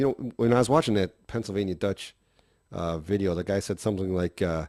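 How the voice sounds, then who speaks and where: A man with a Wisconsin accent talks at a fairly quick pace, fairly low in pitch with ordinary pitch variation and a dark, mellow tone. The sound is dry and close with no echo, and the background is quiet. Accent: Wisconsin (Cheesehead). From Wisconsin, USA.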